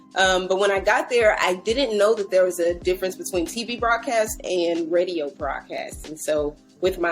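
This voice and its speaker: A woman speaks in a bubbly tone with an American accent at a medium pitch. Music plays behind her as she keeps a moderate pace. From Dallas, Texas. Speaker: media personality. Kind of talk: interview answer.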